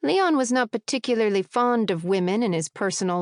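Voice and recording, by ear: Read aloud in a natural voice, the speech moves with ordinary pitch variation.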